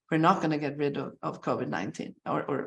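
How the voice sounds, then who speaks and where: A woman talks at a fairly quick pace with a very deep, low pitch and vocal fry. The background is quiet. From Sweden. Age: 60s. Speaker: brain researcher, professor. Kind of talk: webinar interview. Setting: online webinar.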